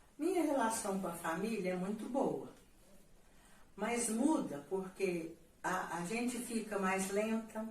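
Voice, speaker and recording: A woman's fairly high, somewhat breathy voice at a very slow pace, with audible room echo. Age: 70s. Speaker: retired educator, interviewee. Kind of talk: interview. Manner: halting.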